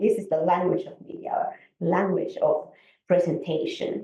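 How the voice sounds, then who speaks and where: A woman speaks with a Finnish accent. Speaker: conference speaker, academic. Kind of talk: conference presentation. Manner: halting, many fillers and restarts.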